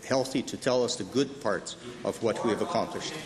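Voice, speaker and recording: Medium-pitched male speech over noticeable background noise. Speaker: premier answering questions in the legislature. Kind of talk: formal legislature answer. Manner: hesitant, with frequent filler words.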